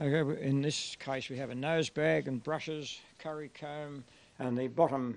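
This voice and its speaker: This man speaks with an Australian accent at a moderate pace. His intonation stays fairly even. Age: 70s. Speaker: light horse re-enactment troop leader. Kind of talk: interview.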